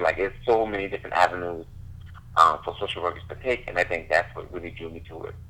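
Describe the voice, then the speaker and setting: With an American accent, a man speaks in an unremarkable speaking voice at a fairly low pitch, using ordinary pitch variation. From Charleston area, US South. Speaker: school social worker. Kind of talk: podcast interview.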